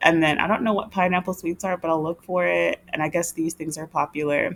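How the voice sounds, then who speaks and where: A woman's fairly low voice, animated in tone, at a fairly quick pace. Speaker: retired travel vlogger. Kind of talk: casual screen-share vlog. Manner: fast.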